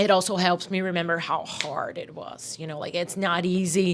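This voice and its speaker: A woman with a Portuguese accent speaks at a medium pitch and a fairly slow pace in a flat monotone. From Brazil, São Paulo. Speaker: death metal musician and vocalist. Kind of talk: interview. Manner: halting, many fillers and repetitions.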